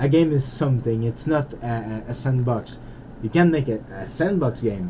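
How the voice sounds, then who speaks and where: A man speaks at a moderate pace with a Canadian French accent and ordinary pitch variation. Noticeable background noise runs underneath. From French Canada (Quebec). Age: 40s. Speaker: indie game developer. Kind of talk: casual monologue while playing. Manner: rambling, hesitant with repetitions.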